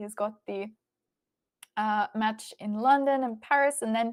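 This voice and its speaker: The woman talks at a fairly slow pace with fairly even intonation. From Australia, Melbourne. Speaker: chess stream commentator. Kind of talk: live stream chat, reading viewer questions.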